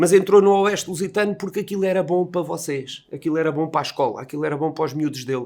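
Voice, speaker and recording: Talking at a fairly quick pace, a man keeps a high pitch and fairly even intonation. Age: 60s. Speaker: dental technician and horse enthusiast. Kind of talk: tribute speech. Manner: casual, colloquial.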